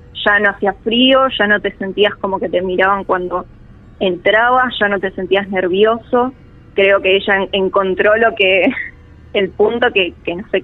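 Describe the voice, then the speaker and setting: Using fairly even intonation, a woman with a Rioplatense accent talks at a moderate pace and a medium pitch. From Argentina, Buenos Aires. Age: 20s. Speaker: storyteller guest. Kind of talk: personal testimony. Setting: remote call.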